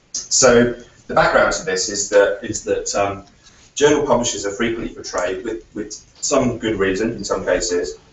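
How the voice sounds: A man's fairly low voice with ordinary pitch variation, at a moderate pace, with audible room echo.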